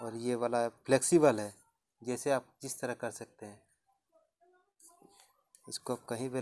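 This man talks at a fairly slow pace with fairly even intonation. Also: quiet background. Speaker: home vlogger. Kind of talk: casual unboxing commentary. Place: home room. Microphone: lapel.

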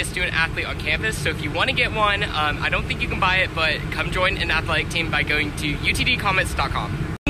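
Over loud background noise, a man with an American accent speaks at a fairly quick pace, the sound itself dry with no echo. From Texas, Richardson (Dallas area). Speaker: college student. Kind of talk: casual social media takeover vlog. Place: street. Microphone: phone near.

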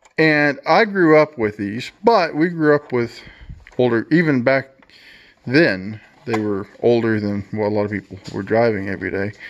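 Speaking at a fairly slow pace, a man talks. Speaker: vlogger. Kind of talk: casual vlog chat. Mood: relaxed, nostalgic. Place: garage. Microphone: phone near.

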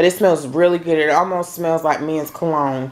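A woman's fairly low-pitched voice with fairly even intonation. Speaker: home decor haul vlogger. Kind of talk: casual vlog chat. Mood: cheerful, chatty. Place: home room. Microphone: phone near.

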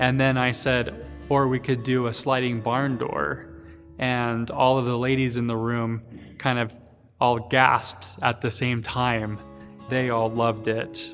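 With faint music in the background, a man talks at a fairly slow pace with fairly even intonation. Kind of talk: interview answer. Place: hall. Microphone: lapel.

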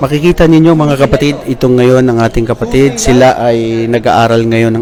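Noticeable background noise sits under a man who speaks at a fairly quick pace. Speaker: vlogger interviewing Islamic students. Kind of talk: religious exhortation; casual on-location interview vlog. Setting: on location at an Islamic study center.

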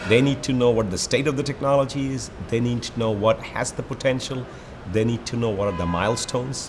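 Music is audible behind the voice. A man speaks fairly quickly. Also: ordinary pitch variation. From Bangladesh. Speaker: energy research executive. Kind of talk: interview over lunch. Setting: restaurant. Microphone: lapel.

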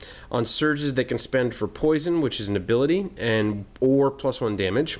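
An unforced reading voice is what you hear.

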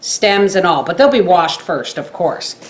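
Intonation rises and falls in a lively way as a woman speaks. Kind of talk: tutorial. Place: kitchen. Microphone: camera far.

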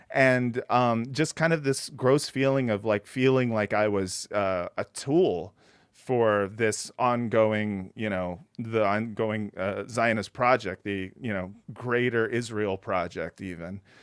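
In a very clean recording with a silent background and a dry, close sound with no echo, a man speaks very slowly with an American accent. His pitch is medium with ordinary variation. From US West Coast. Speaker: podcast host. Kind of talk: casual conversation. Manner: halting, many fillers.

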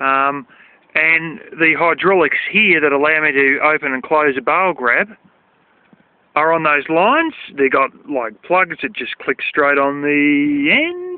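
The delivery is at a fairly slow pace, with a dry sound and no echo. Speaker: tractor owner. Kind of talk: casual explanatory tutorial. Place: farm machine. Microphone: phone near.

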